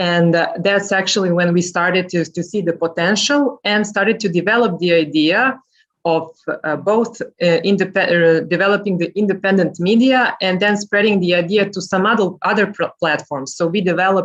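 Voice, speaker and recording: The speaker has a Serbian accent. The pace is moderate. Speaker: journalist and podcast host. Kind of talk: panel talk. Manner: halting.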